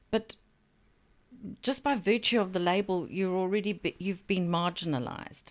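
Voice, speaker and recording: A woman with a South African accent speaks at very even loudness, leaving long, frequent pauses. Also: medium pitch for a woman, ordinary pitch variation, moderate pace. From Zambia. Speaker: writer. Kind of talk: casual interview chat.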